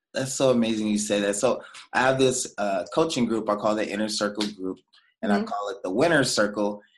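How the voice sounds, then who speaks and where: This man has a normal speaking voice, fairly low in pitch, and talks at a fairly quick pace with ordinary pitch variation. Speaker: podcast host. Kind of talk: casual interview chat.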